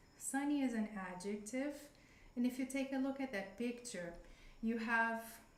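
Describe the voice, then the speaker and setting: With a Brazilian Portuguese accent, a woman speaks at a fairly high pitch and a fairly slow pace. Her pitch variation is ordinary, and there is audible room echo. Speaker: English teacher. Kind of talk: live-streamed lesson. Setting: live stream. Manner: halting.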